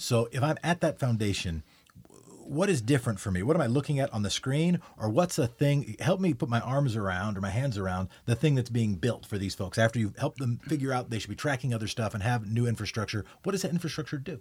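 Very clean and set against a silent background, the recording has a man talking at a very fast pace, medium in pitch, somewhat breathy, with lively intonation. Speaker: podcast host. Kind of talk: casual interview.

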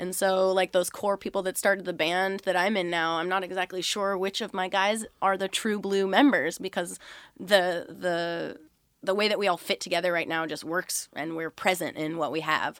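Recorded very cleanly against a silent background, a woman speaks in an ordinary speaking voice at medium pitch and a moderate pace. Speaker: tribute band singer. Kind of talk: casual radio interview chat. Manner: bubbly, laughing, chatty.

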